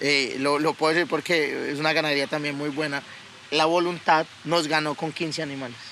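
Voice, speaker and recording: A man speaks at a fairly quick pace with a fairly high pitch. His tone is bright and sharp. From Colombia (Yopal, then Bogotá). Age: 20s. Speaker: cattle breeder and podcast co-host. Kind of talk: casual chat. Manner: animated.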